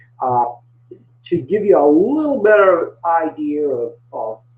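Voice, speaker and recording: A man with a Maine accent speaks at a fairly high pitch, fairly slowly, with long, frequent pauses. His pitch swings very widely and his loudness varies a lot. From Maine, US. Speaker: small business coach. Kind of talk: webinar presentation. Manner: halting, many fillers and repeats.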